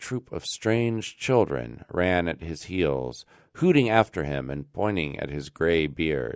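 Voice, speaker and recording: In a very clean recording with a silent background, a man with an American accent speaks very slowly at a very deep, low pitch with very wide pitch swings. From Alaska, United States. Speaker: radio presenter. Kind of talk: classic story reading.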